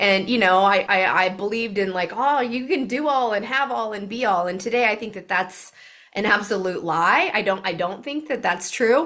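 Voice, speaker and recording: A woman talks at a moderate pace in an ordinary speaking voice. Her pitch is medium, with ordinary variation. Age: 40s. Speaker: supplement company founder. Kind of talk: interview.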